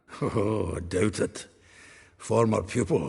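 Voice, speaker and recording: Speaking fairly slowly, a man uses a put-on character voice. It sounds raspy and sits at a fairly low pitch. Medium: video game. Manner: chuckling, earthy.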